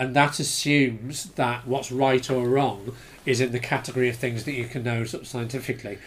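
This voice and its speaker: A man in a British accent talks at a fairly quick pace. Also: medium pitch for a man, fairly even intonation. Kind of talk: casual chat.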